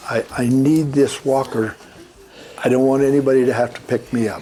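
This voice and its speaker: Over noticeable background noise, a man at medium pitch speaks at a moderate pace. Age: 80s+. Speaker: retired toymaker. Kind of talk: interview. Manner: halting.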